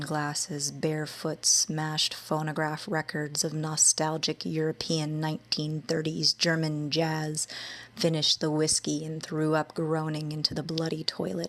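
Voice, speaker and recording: A soft-spoken woman with a soothing tone, very deep and low in pitch, monotone and flat, at a fairly slow pace. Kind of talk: ASMR poetry reading. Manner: soothing, soft-spoken.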